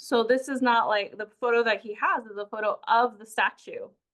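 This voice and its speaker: A woman with a Spanish accent and a fairly high pitch. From Peru. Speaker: community engagement coordinator. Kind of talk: lecture. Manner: halting, many fillers and restarts.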